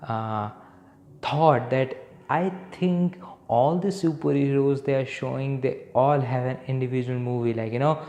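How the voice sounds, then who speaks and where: Fairly slow male speech with a dark, mellow tone and ordinary pitch variation. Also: medium pitch for a man. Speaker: film youtuber. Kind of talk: casual review monologue. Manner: loud; animated.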